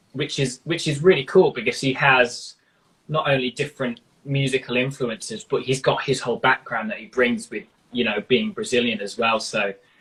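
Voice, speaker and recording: A man with a British accent, medium pitch, lively intonation and a moderate pace. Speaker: rock guitarist. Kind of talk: interview. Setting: live stream.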